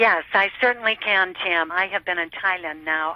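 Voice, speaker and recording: A woman at a medium pitch talks at a fairly slow pace in a normal speaking voice. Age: 60s. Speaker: network marketer. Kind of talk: interview testimony.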